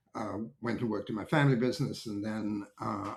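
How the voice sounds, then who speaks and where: A man speaks with an American accent at a fairly quick pace. His fairly low voice is somewhat breathy, with ordinary pitch variation. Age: 70s. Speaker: technology market analyst. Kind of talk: interview conversation. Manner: hesitant, many fillers and restarts.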